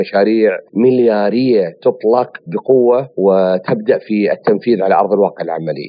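With an unremarkable speaking voice, a man speaks at a fairly slow pace in a fairly low pitch, his pitch varying in an ordinary way. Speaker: economic analyst. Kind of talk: expert commentary.

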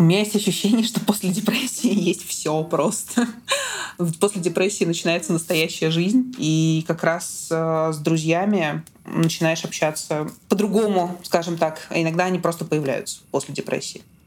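A woman's fairly low-pitched voice at a moderate pace, with ordinary pitch variation and noticeable background noise. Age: 20s. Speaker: guest sharing depression experience. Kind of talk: personal testimony in conversation.

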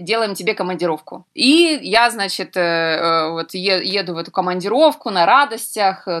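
A woman speaks very slowly at a medium pitch, with very wide pitch swings. The recording is very clean, with a silent background. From Ukraine, Donetsk. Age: 30s. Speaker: travel TV producer. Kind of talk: interview.

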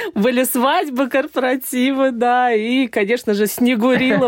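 Background noise is clearly noticeable. The voice is a woman's. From Saratov, Russia. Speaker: event host, former engineer. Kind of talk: casual interview. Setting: studio.

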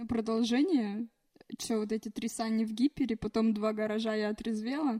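A woman with an unremarkable speaking voice talks at a moderate pace and fairly high pitch with fairly even intonation, the sound dry and close with no echo. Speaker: podcast guest. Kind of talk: casual chat.

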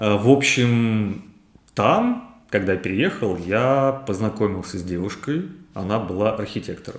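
Here is an ordinary speaking voice from a man with a fairly low pitch. His pitch variation is ordinary. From Ryazan region, Russia. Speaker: interior designer. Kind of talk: interview.

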